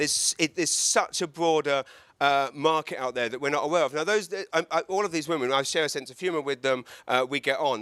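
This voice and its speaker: Speaking at a fairly quick pace, a man with an English accent has a fairly high pitch and ordinary pitch variation. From England. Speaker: comedian. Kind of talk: talk to live audience. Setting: event with audience, handheld mic, live streamed. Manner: halting, many repetitions.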